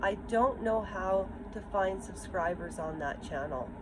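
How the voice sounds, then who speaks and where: A woman talking at a very slow pace with lively intonation, amid noticeable background noise and audible room echo. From Ukraine. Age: 50s. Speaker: vlogger. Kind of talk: personal vlog monologue. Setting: outdoors. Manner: halting.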